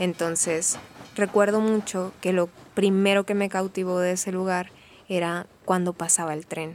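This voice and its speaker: A woman speaks at a medium pitch. Her fairly slow delivery has monotone, flat intonation. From Mexico, Sonora (Benjamin Hill). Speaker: theatre performer. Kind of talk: interview storytelling.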